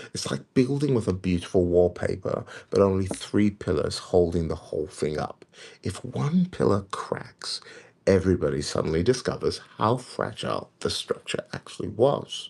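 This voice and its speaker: A quiet man's voice at a moderate pace. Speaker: prophetic preacher. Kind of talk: livestream teaching. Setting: livestream at home. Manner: quiet, kept low. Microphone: may be too quiet.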